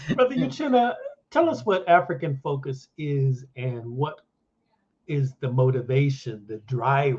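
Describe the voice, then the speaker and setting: A man speaks at a fairly slow pace, his medium pitch rising and falling in an ordinary way. His loudness swings widely, and the voice is somewhat breathy. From southern California. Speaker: podcast host. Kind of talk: interview. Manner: casual, friendly.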